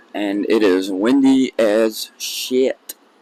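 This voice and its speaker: The intonation is fairly even. Noticeable background noise can be heard. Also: man. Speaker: vlogger. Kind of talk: casual vlog talk. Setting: outdoors at theme park. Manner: speaks quietly.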